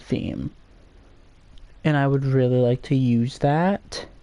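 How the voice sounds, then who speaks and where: A man speaks quietly at a very slow pace, his pitch fairly high. His tone is dark and mellow, with ordinary pitch variation. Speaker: gaming streamer. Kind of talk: casual live stream chat. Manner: quieter while browsing.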